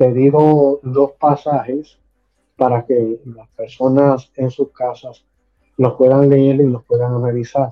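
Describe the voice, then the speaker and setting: Here a man speaks at a very slow pace in a medium pitch, his intonation monotone and flat. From Puerto Rico (Caguas, San Lorenzo) and Florida. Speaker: pastor and theology teacher. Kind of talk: theological dialogue.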